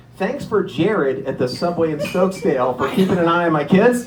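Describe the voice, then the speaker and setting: A man with an American accent talks at a high pitch with lively intonation. There is noticeable background noise and audible room echo. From Erie, Pennsylvania. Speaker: comedian. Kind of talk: stand-up. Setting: stage with audience. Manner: fast.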